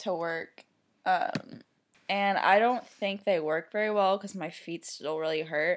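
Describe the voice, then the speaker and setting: The speaker talks at a fairly slow pace. Pitch variation is ordinary. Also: woman, medium pitch for a woman. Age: 20s. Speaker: vet clinic worker, host's sister. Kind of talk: casual chat. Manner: mumbling.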